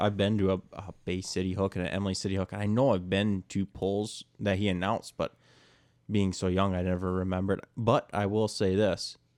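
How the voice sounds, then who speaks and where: A man with fairly low pitch and an ordinary speaking voice at a moderate pace, dry and close with no echo, over a quiet background. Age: 20s. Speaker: motorsports insider. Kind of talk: casual chat.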